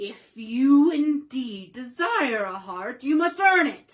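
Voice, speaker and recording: Putting on a character voice, a woman speaks very slowly in a high pitch. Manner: gruff.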